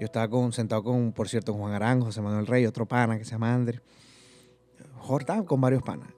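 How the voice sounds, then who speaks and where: Faint music plays in the background as a man with a dark, mellow tone speaks at a very fast pace with fairly even intonation. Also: medium pitch for a man. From Venezuela, Barinas (llanos region); Venezuela. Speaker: comedian and youtuber; comedian, youtuber. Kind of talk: casual interview chat. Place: studio. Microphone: studio mic.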